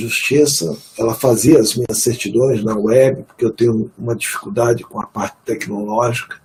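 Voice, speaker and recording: This is a man with a normal speaking voice. His pitch is medium, with ordinary pitch variation. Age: 60s. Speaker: retired court officer, bereaved father. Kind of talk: webinar testimony.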